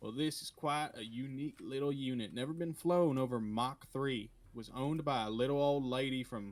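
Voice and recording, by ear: Ordinary pitch variation in a natural voice reading aloud.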